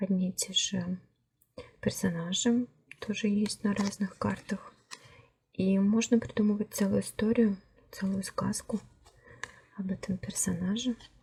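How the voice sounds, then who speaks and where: A woman speaks at a fairly slow pace with long, frequent pauses. Her medium-pitched voice is somewhat breathy, with fairly even intonation. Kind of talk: tarot deck review, casual talk to camera. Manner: soft-spoken.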